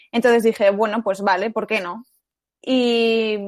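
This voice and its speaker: On a very clean recording, a woman speaks against a silent background. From Spain, Madrid area. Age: 20s. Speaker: journalism student. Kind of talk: faith testimony interview. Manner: halting.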